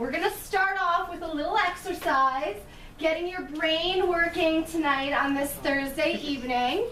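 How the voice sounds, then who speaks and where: Extremely high-pitched, a woman projects a raised voice at a fairly slow pace with ordinary pitch variation, and the room's echo is audible. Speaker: chiropractor. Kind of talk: patient workshop talk. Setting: room with live audience of patients.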